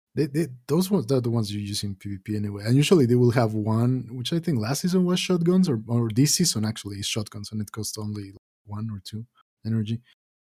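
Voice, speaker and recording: With a dark, mellow tone and a somewhat breathy quality, a man speaks at a very fast pace using lively intonation. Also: medium pitch for a man. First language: not English. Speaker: podcast co-host. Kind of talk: casual gaming chat.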